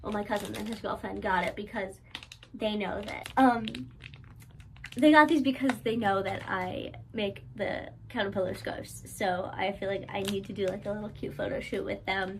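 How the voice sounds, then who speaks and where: A woman with an American accent speaks at a moderate pace with ordinary pitch variation. Noticeable background noise and audible room echo are present. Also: medium pitch for a woman. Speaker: crochet small business owner vlogger. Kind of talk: casual vlog narration. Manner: filler-heavy casual.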